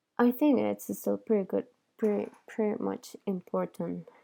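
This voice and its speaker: A woman's dark, mellow voice with a non-native accent, at a fairly slow pace. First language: not English. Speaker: dental exam candidate reviewing study program. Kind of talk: screen-share product review. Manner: hesitant, many fillers.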